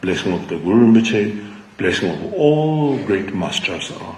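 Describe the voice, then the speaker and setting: Fairly slow speech from a man with a fairly low voice and lively intonation, plus audible room echo. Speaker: Buddhist teacher. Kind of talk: dharma talk.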